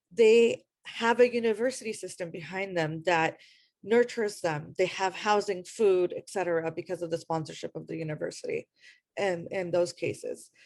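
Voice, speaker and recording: A woman speaks at a moderate pace with an Iranian accent against a quiet background. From US, Afghan immigrant community. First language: Farsi. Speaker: panelist, refugee advocate. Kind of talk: panel discussion.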